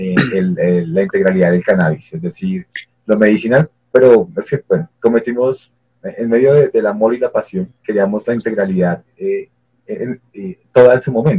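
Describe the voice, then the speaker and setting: Speaking at a fairly slow pace, a man uses lively intonation at a fairly low pitch. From Colombia. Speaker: nurse and cannabis activist, online radio co-founder. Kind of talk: interview. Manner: halting, many fillers and repetitions.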